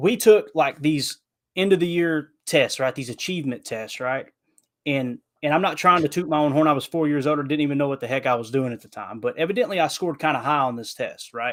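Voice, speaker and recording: Delivered at a fairly quick pace with a Southern US accent, the speech has ordinary pitch variation and big swings in loudness. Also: man, fairly high pitch for a man. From Kentucky. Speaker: podcast guest, football commentator. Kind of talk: casual podcast chat. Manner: animated.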